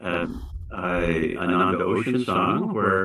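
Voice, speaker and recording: Noticeable background noise runs behind the speech. A man is talking with an American accent. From US West. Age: 70s. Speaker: spiritual teacher. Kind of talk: sermon. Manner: halting, many fillers.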